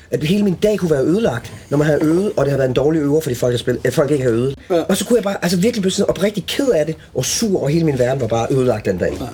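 Very fast and somewhat breathy, a man's fairly high voice has a dark, mellow tone and very wide pitch swings. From Denmark, Als (southern Jutland). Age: 40s. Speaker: guitarist. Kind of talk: casual chat. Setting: backstage room at a music venue.

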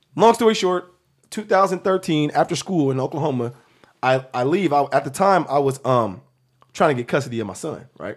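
On a very clean recording with a silent background, a man with a normal speaking voice talks at a fairly quick pace, his fairly high pitch carrying lively intonation. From US Northwest, South Seattle. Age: 30s. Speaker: former college basketball player and actor. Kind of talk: casual chat.

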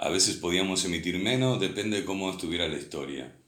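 Audible room echo carries a man's very deep, low voice, which shows ordinary pitch variation. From Uruguay, Montevideo. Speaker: former pirate radio broadcaster. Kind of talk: casual chat.

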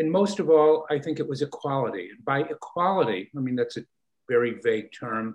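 A man with a normal speaking voice, lively intonation and a fairly quick pace. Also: fairly high pitch for a man. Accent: American. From Chicago, US Midwest. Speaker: political science professor. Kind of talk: interview.

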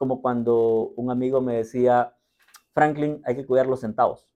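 A man with a dark, mellow tone and medium pitch talks at a fairly slow pace with fairly even intonation. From rural Latin America. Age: 40s. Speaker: entrepreneur and investor. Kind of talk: interview.

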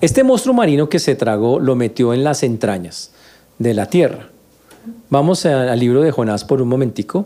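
Here a man talks at a medium pitch and moderate pace. His intonation is lively. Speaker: pastor. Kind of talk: sermon. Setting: church. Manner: animated, teaching, conversational tone.

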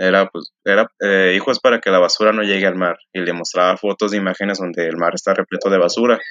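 A man with a normal speaking voice talks at a fairly quick pace, fairly low in pitch, with fairly even intonation. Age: 20s. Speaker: eco-parenting social media creator. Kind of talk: interview.

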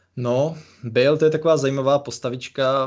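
A man at a medium pitch and a fairly slow pace. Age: 20s. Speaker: podcast co-host, football website founder. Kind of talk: casual chat. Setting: remote recording over computers.

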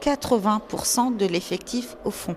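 A woman speaks very slowly, with noticeable noise in the background. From northern France, Nord-Pas-de-Calais mining basin. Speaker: archives director and exhibition curator. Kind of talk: interview.

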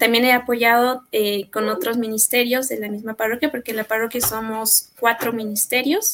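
Here is an ordinary speaking voice. A woman talks at a fairly high pitch and a moderate pace. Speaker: church choir singer. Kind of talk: testimony.

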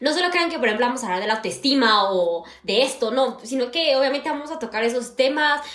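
A woman's high-pitched, very fast talk with hardly any pauses and lively intonation, amid audible room echo and noticeable background noise. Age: 20s. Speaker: university student and podcast co-host. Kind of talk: casual chat.

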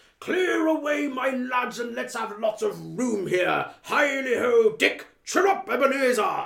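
Speaking at a fairly slow pace with hardly any pauses, a man uses an extremely high pitch that swings very widely. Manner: jovial, hearty.

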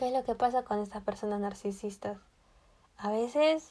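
Her voice sits at a medium pitch as the woman talks at a moderate pace. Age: 20s. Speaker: podcast host, psychology student. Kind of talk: casual monologue.

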